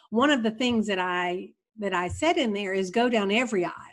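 Heard on a very clean recording with a silent background, a woman with a plain, everyday voice speaks fairly high with lively intonation. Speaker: retired kindergarten teacher. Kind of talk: casual interview.

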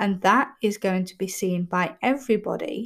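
The woman's voice sounds somewhat breathy. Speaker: podcast host. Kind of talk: solo motivational talk. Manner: frequent fillers (erm).

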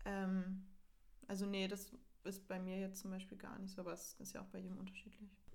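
A woman speaks fairly quickly at medium pitch in a flat monotone. Audible room echo surrounds her voice. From northern Germany, near Hamburg. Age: young. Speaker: university student. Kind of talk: casual chat. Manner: laughing often.

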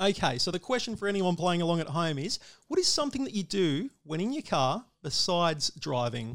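On a very clean recording with a silent background, a man talks at a fairly quick pace. His high voice makes very wide pitch swings. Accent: Australian. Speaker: motorsport radio host. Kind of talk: casual interview; quiz game hosting.

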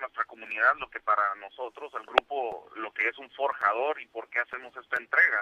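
Medium pitch from a man, bright and sharp in tone, with fairly even intonation and a moderate pace. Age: 30s. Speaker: business association coordinator. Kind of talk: radio interview. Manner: halting.

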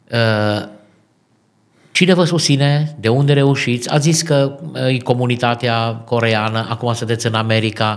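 A man's unremarkable speaking voice at medium pitch, with ordinary pitch variation and very even loudness. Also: fairly slow pace. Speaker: radio host and pastor. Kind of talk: interview. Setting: studio. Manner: formal.

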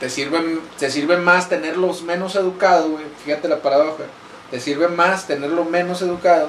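A high-pitched man's voice at a moderate pace, with audible room echo and noticeable background noise. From Monclova, Coahuila, northern Mexico. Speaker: podcast host. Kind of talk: casual chat. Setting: small home studio.

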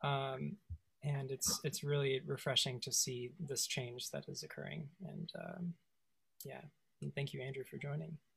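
A woman with a very deep, low voice and vocal fry talks at a fairly slow pace with ordinary pitch variation. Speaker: trumpet player and guest. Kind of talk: casual conversation.

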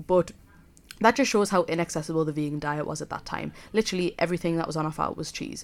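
A woman speaks very fast with a Geordie accent, her fairly low voice showing ordinary pitch variation. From northern England, South Shields (Tyneside). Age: 20s. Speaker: student radio podcast host. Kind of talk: casual solo podcast talk. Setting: student radio studio.

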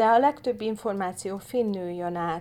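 A woman with an ordinary speaking voice, medium pitch, ordinary pitch variation and a fairly slow pace, on a very clean recording with a silent background. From Hungary. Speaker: political candidate. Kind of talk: casual interview.

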